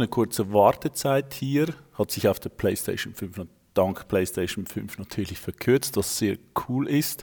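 A man with a Swiss accent speaks with lively intonation. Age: 40s. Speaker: esports founder, father. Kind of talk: gameplay commentary; casual chat.

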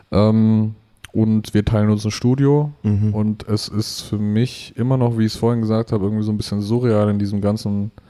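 In a dark, mellow tone with very even loudness, a man of fairly low pitch speaks monotone and flat at a moderate pace. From Middle Franconia, rural Bavaria (Germany). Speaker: rapper. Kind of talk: casual interview chat.

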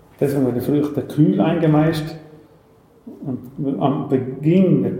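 A man's pitch varies in an ordinary way while audible room echo and noticeable background noise fill the recording. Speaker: fruit brandy distiller. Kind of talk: interview with tasting. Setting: on site at his distillery.

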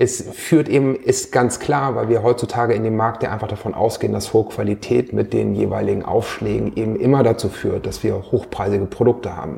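A man talks fairly quickly and with hardly any pauses while noticeable background noise carries on. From northern Germany, Hanover area. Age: 40s. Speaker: entrepreneur. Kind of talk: interview. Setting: office. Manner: halting, many fillers.

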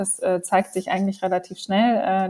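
At a moderate pace, a woman speaks at a medium pitch in a dark, mellow tone. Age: 30s. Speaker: company co-founder. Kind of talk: interview.

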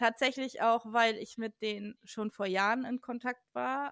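A woman with a plain, everyday voice speaks at a fairly high pitch and a fairly slow pace, her intonation fairly even, with a dry, close sound and no echo. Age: 30s. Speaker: urban explorer and photographer. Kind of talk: casual chat.

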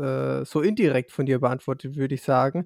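The man's fairly high-pitched voice sounds dry and close, with no echo. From Lower Franconia, Germany. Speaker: podcast co-host. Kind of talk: casual interview.

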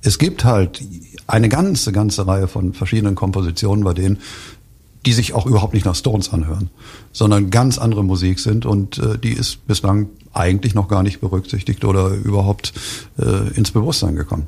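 The voice has a dark, mellow tone and vocal fry, moving at a fairly quick pace with ordinary pitch variation. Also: man, fairly low pitch for a man. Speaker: book author. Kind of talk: radio interview. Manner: halting, many fillers and restarts.

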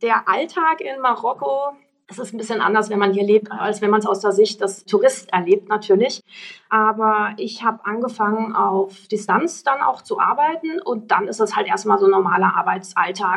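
With an ordinary speaking voice, a woman speaks at a moderate pace in a fairly high pitch and lively intonation. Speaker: electric rally founder. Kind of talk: casual interview.

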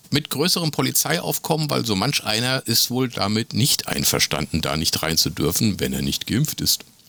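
Very wide pitch swings at a moderate pace with hardly any pauses, amid noticeable background noise. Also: man, medium pitch for a man. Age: 50s. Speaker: podcast co-host. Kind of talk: casual chat.

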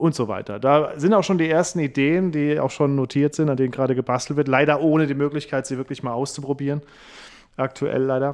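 This man has an unremarkable speaking voice with a fairly high pitch. He talks at a fairly quick pace with fairly even intonation. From Saarland, near French border. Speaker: comedian and radio host. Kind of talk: casual interview.

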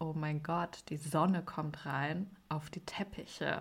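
Somewhat breathy, a woman talks at a very slow pace. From Germany. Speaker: podcast host and TV editor. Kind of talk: casual chat.

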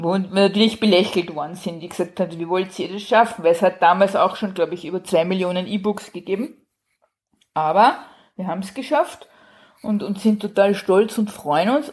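In an ordinary speaking voice, a woman of medium pitch talks at a moderate pace with ordinary pitch variation and big swings in loudness. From Austria. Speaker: crime novelist. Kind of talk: casual chat.

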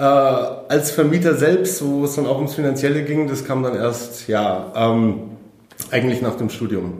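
A man talks at a fairly slow pace with a medium pitch and ordinary pitch variation. Noticeable background noise and audible room echo fill the recording. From Germany, Munich (Bavaria). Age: 30s. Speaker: property investor. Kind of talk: interview. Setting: in person.

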